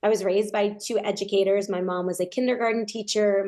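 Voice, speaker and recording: In an American accent, a woman speaks at a medium pitch with fairly even intonation and a dark, mellow tone over a quiet background. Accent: New York accent, mostly trained out, slips in. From US Northeast, Long Island, New York. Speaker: nonprofit founder. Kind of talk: podcast interview.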